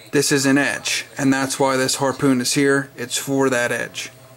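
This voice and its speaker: A man speaks at a fairly slow pace in an enthusiastic tone, his voice fairly high-pitched, with music playing in the background. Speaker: knife collector video reviewer. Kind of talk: casual product showcase. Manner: casual, enthusiastic.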